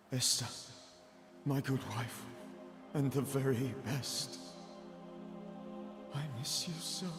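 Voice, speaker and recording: Doing a put-on character voice at medium pitch, a man speaks fairly slowly with long, frequent pauses. Clear echo and clear background music accompany him. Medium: video game. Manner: sorrowful.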